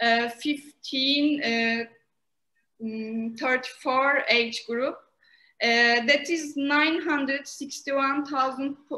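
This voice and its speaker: A woman with a Turkish accent speaks in a raised, projected voice at a very slow pace. Her pitch is high, her tone bright and sharp, and her intonation fairly even. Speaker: master's student and co-moderator. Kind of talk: prepared question at an online conference. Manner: halting, many hesitations.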